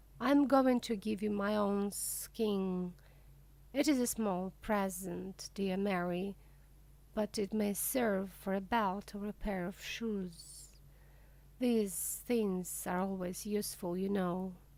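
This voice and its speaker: A woman's put-on character voice, hissing, medium in pitch, fairly slow, with long, frequent pauses. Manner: hissing, slow, sly.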